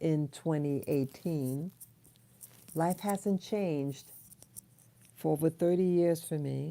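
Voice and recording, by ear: Soft-spoken and slow, a woman talks at a low pitch with ordinary pitch variation. Her tone is dark and mellow, with vocal fry.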